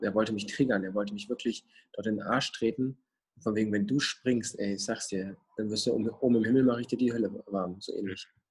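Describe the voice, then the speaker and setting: A man speaking at medium pitch goes at a very fast pace. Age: 20s. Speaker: mental coach. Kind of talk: casual interview. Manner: animated.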